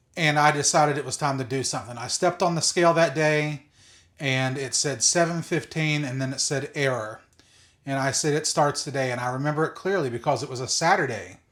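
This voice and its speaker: A man talks at a fairly quick pace in a plain, everyday voice, pitched fairly high. The recording is very clean, with a silent background. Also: ordinary pitch variation. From West Virginia (Greenbrier County). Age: 40s. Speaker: content creator documenting weight loss. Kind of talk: casual vlog monologue. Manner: unscripted, with fillers and restarts.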